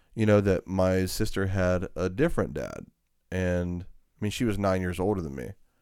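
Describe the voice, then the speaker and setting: Recorded very cleanly against a silent background, a man with a Georgia accent talks with ordinary pitch variation. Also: moderate pace. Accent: Southern US, country Georgia. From US South, Georgia. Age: 40s. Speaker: podcast host, sharing his life story. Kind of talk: casual chat, testimony.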